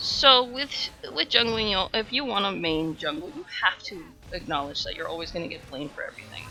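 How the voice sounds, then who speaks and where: There's noticeable background noise as a woman talks at a moderate pace. Her pitch swings very widely. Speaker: gaming streamer. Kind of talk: live game streaming with commentary. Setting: live stream.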